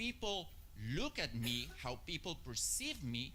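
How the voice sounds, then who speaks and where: Audible room echo fills the space. Within it, a man speaks at a fairly slow pace. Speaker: marketing strategist. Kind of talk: conference talk. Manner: hesitant, many filler uhs.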